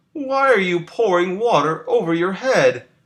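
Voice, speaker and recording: A put-on character voice from a man, high-pitched and at a moderate pace. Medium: read story. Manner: mild, curious.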